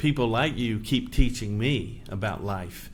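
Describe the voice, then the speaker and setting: The voice has ordinary pitch variation, with audible room echo. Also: man. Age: 60s. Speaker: podcast host, charity leader. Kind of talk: interview.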